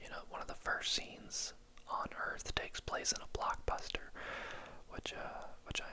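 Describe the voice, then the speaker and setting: Noticeable background noise runs under a man whispering at a moderate speed. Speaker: ASMR movie reviewer. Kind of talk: movie review talking to camera. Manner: whispered, soft-spoken.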